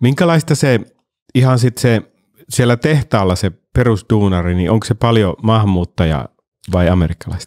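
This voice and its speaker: A man speaks at a moderate pace and fairly low pitch with lively intonation. His loudness stays very even against a quiet background. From Finland. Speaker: podcast host and actor; podcast host, actor. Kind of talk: casual chat. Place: studio. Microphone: studio mic.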